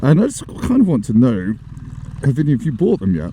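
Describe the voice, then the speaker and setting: With noticeable background noise, a man talks fairly quickly with an English accent and very wide pitch swings. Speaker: motorcycle vlogger. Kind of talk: casual vlog chat. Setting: riding a motorbike in the rain. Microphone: new action camera audio setup, may be poor.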